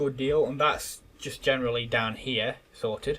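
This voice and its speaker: Here a man speaks with an English accent. His pace is fairly slow. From England. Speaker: gaming YouTuber. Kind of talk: gameplay commentary. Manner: casual, hesitant with repeated words.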